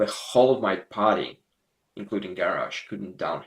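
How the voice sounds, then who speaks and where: With a Russian accent, a man speaks at a fairly low pitch. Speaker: gaming video creator. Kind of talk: casual gameplay commentary. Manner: halting, repetitive.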